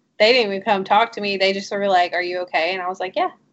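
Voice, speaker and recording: A woman's normal speaking voice, medium in pitch, with fairly even intonation. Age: 30s. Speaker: podcast co-host. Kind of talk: casual chat. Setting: recording with remote participant on call.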